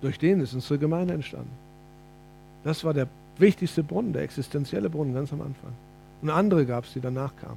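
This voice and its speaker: Talking at a very fast pace yet with long, frequent pauses, a man with a fairly high voice shows ordinary pitch variation and big swings in loudness. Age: 50s. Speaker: preacher. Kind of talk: sermon.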